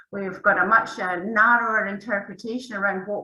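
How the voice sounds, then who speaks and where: Against noticeable background noise, a woman with a medium pitch talks at a moderate pace with fairly even intonation. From Scotland. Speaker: academic researcher. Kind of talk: panel discussion.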